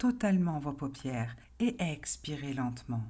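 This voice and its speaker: A woman's very slow, calm, soothing voice, dark and mellow, somewhat breathy, with very wide pitch swings. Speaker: hypnotherapist and life coach. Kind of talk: guided relaxation hypnosis induction.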